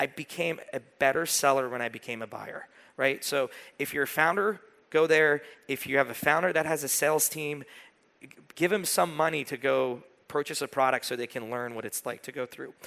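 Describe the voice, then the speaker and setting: A man speaks at a fairly quick pace in a fairly high voice with ordinary pitch variation. His tone is animated, bright and sharp, with big swings in loudness. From Iran. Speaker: sales and go-to-market consultant. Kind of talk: conference keynote. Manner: casual, animated.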